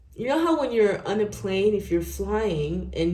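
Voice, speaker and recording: There is audible room echo as a woman talks at a moderate pace in a medium pitch. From Nigeria. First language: not English. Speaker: tarot reader. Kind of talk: tarot reading. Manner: animated.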